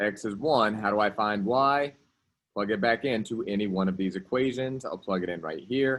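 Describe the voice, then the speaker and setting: Loudness swings widely as a man speaks in a fairly low pitch with ordinary pitch variation. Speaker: math teacher. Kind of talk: classroom lecture. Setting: classroom. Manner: fast.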